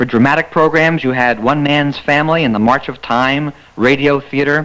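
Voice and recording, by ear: A man talks at a moderate pace with medium pitch and ordinary pitch variation. His tone is fairly bright.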